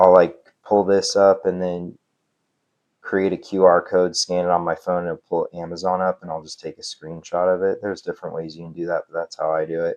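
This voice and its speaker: The sound is dry and close with no echo as a man speaks at a fairly quick pace, his loudness swinging widely. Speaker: affiliate marketing creator. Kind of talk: tutorial. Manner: halting, filler-heavy; casual.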